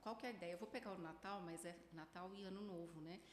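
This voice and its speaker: A woman speaks over noticeable background noise. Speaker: psychologist. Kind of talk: casual chat.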